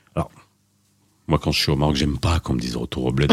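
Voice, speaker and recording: A man's voice with vocal fry. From Moroccan diaspora in Belgium. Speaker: radio host. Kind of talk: radio talk show. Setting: studio. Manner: animated.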